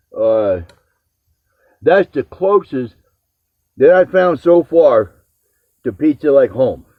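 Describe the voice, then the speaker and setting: A man's fairly high voice at a very slow pace, with very wide pitch swings and long, frequent pauses. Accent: American. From New Jersey / New York area. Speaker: home cooking video host. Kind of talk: casual chat.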